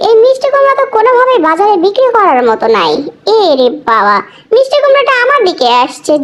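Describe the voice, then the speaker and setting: The speed is moderate. A put-on character voice carries an extremely high pitch. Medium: dub.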